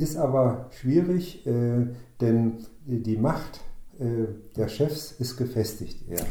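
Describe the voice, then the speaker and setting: A man speaks at a very slow pace with a medium pitch and ordinary pitch variation. The recording carries audible room echo and noticeable background noise. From northern Hesse, Germany (Waldeck-Frankenberg district). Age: 60s. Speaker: amateur football club chairman and former mayor. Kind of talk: interview conversation. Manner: hesitant, with frequent fillers.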